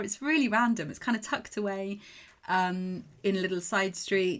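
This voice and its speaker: A woman with an English accent at a fairly quick pace. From England. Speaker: mental performance coach. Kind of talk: podcast monologue. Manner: animated.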